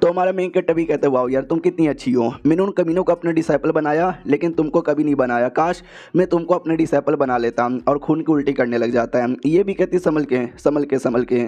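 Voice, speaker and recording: With hardly any pauses, a man talks at a moderate pace and fairly high pitch in a dark, mellow tone, with ordinary pitch variation and very even loudness. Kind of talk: casual recap narration.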